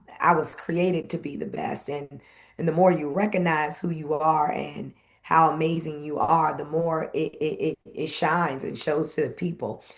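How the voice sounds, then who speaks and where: The woman's pitch is very deep and low. She keeps a fairly even intonation at a moderate pace. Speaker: event host and former radio personality. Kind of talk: interview conversation.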